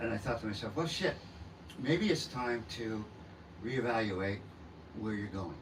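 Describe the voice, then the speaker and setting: With an American accent, the speaker goes at a fairly slow pace with ordinary pitch variation and long, frequent pauses. Noticeable background noise and audible room echo are present. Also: man, medium pitch for a man. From Southern California. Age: 60s. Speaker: rock singer-songwriter. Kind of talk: interview. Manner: halting, many fillers.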